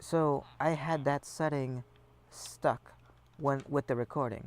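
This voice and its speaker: Soft-spoken and at a fairly slow pace, a man talks with a medium pitch and fairly even intonation. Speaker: gaming streamer. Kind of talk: casual gameplay commentary. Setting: live stream. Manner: casual with fillers.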